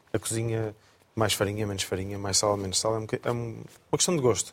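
A man is speaking. His pitch sits fairly low. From Coimbra, Portugal. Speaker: chef. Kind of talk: casual chat. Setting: studio.

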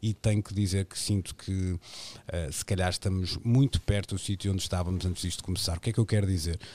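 A dark, mellow tone at a fairly quick pace, with fairly even intonation. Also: man. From Portugal, Porto. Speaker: radio host. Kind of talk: radio panel discussion. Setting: remote, each from home.

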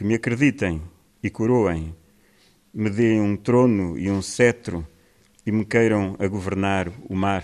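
The man talks at a very slow pace, with long, frequent pauses. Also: ordinary pitch variation. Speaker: poet. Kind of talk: casual spoken introduction before poems. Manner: halting, hesitant.

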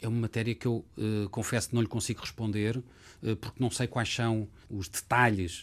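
Recorded very cleanly against a silent background, a man with a normal speaking voice talks at a moderate pace in a fairly low pitch with fairly even intonation. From Portugal, Lisbon. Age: 50s. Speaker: lawyer and former government official. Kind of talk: interview.

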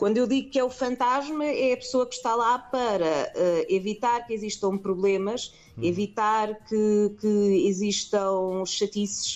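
A woman talks at a fairly high pitch in an unremarkable speaking voice, with ordinary pitch variation. Her pace is fairly slow, yet she hardly pauses. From Portugal, Lisbon. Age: 30s. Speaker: film producer. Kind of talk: interview.

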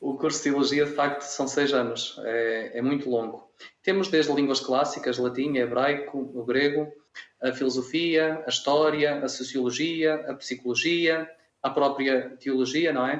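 A man with an unremarkable speaking voice, fairly even intonation and a fairly slow pace. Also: fairly high pitch for a man. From Minho, Braga district, northern Portugal. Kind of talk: radio interview.

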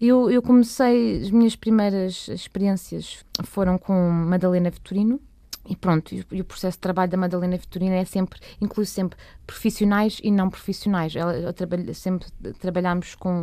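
Over a very clean recording with a silent background, a woman at medium pitch speaks at a moderate pace with ordinary pitch variation and a plain, everyday voice. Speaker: cellist and singer. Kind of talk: radio interview.

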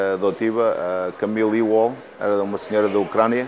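A man speaks over noticeable background noise. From Portugal. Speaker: restaurant and gym owner. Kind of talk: interview.

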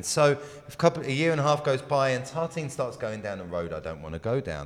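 Someone male speaks at a moderate pace with very wide pitch swings. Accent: English. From England. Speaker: baker. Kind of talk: interview.

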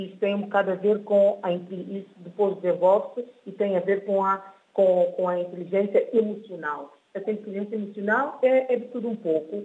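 A woman at medium pitch, moderate pace and fairly even intonation. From São Tomé and Príncipe. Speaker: author and UN staff member. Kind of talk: radio interview. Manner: halting.

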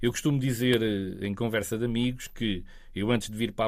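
A man talks in a normal speaking voice. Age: 40s. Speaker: local politician. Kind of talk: interview.

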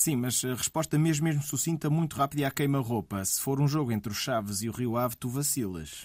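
With a European Portuguese accent, a man talks at a fairly quick pace and medium pitch, with ordinary pitch variation and hardly any pauses. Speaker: radio host. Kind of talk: radio interview.

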